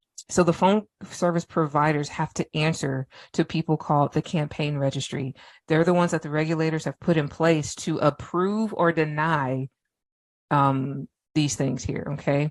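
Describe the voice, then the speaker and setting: A woman speaks at a moderate pace with a very deep, low pitch and fairly even intonation. The sound is dry and close with no echo, against a quiet background. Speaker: business automation trainer. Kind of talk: live online training presentation. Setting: Facebook live video session. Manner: casual, off-the-cuff.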